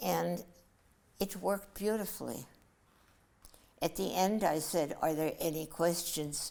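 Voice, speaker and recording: A woman with a fairly low pitch, vocal fry and a dark, mellow tone talks at a fairly slow pace with long, frequent pauses, very even loudness and ordinary pitch variation. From Germany. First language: German. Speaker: author and Holocaust survivor. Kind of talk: interview storytelling.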